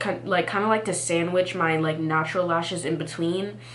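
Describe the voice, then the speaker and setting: A woman with an American accent speaks at a fairly low pitch. Her pitch varies in an ordinary way over noticeable background noise. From Texas. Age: young. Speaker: college student. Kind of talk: storytime talk to camera. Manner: casual, chatty.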